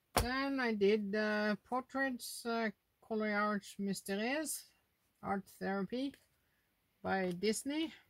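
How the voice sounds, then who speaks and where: A woman speaks with a Norwegian accent at a very slow pace. Her pitch varies in an ordinary way. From Norway. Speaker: adult coloring YouTuber. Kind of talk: casual monologue showing finished coloring pages. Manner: halting, with frequent fillers. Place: home room. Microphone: phone near.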